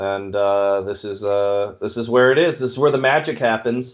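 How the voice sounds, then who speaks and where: A man in a New England accent talks at a moderate pace with fairly even intonation. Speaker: wrestler. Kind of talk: casual chat.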